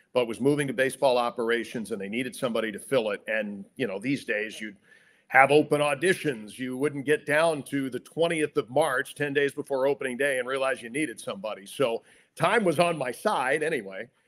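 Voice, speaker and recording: On a very clean recording with a silent background, a man with a plain, everyday voice talks at a fairly quick pace, medium pitch and ordinary pitch variation. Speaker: radio play-by-play announcer (sports broadcaster). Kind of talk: interview answer, telling career anecdotes. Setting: podcast interview.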